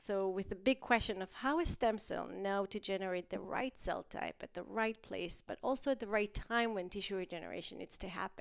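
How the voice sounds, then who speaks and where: The pace is fairly quick. Pitch variation stays ordinary. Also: woman, medium pitch for a woman. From Israel. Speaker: stem cell researcher and professor. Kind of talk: interview conversation. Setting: office in person.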